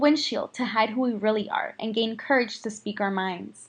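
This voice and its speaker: Speaking in a Spanish accent, the voice keeps a moderate pace with ordinary pitch variation. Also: woman. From US Midwest, Chicago area. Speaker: student. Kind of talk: scripted narration.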